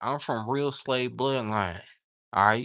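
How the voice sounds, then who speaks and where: Very cleanly recorded against a silent background, a man with a Southern US accent speaks fairly slowly in a bright, sharp tone with ordinary pitch variation. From US South. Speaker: livestreamer and aspiring novelist. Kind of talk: casual livestream chat. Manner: animated.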